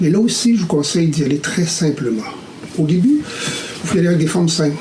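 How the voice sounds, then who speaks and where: Amid noticeable background noise and audible room echo, a man talks at a fairly quick pace in a high voice with lively intonation. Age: 60s. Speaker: caricaturist. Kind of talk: tutorial. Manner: hesitant with fillers.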